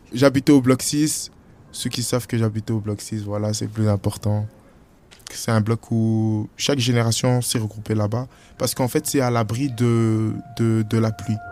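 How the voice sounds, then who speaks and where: Over music in the background, a man speaks in a medium pitch at a fairly slow pace with monotone, flat intonation. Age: 20s. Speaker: young resident. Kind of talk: interview testimony.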